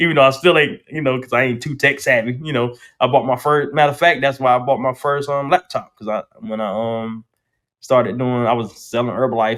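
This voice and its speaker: Speaking with a North Carolina accent, a man keeps a medium pitch and ordinary pitch variation. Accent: Southern US, North Carolina. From US South, North Carolina. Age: 40s. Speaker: barber and entrepreneur. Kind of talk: casual chat. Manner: fast, slightly mumbled.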